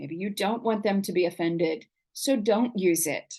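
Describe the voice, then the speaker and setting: At a fairly slow pace, a woman speaks with an American accent. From Oklahoma. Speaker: college writing instructor. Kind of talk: online lecture. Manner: animated.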